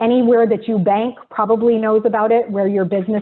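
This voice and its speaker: The woman's pitch is fairly high. She speaks at a fairly quick pace with monotone, flat intonation. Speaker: early learning coalition staff leading provider meeting. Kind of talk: webinar presentation. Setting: video webinar. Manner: fast; frequent filler ums.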